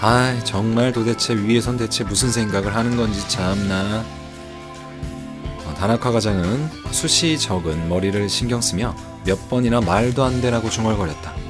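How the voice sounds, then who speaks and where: With music playing in the background, a man talks at a fairly slow pace in a medium pitch. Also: ordinary pitch variation. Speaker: game streamer. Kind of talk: reading a game's story text aloud as narration.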